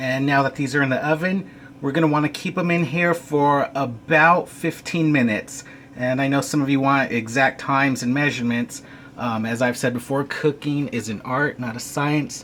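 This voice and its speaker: Noticeable background noise sits behind the speech. A man talks at a moderate pace with fairly even intonation. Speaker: home cooking show host. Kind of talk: cooking tutorial. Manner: hesitant, many fillers; casual.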